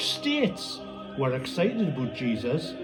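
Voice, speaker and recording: Music plays in the background as a man speaks at a fairly slow pace with very wide pitch swings. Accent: Northumbrian. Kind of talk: poetry reading.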